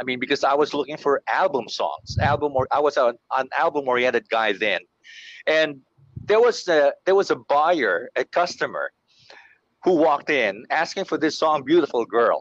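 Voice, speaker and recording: With a Filipino accent, a man talks at a moderate pace in a dry, close sound with no echo against a quiet background. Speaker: radio veteran. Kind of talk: casual chat.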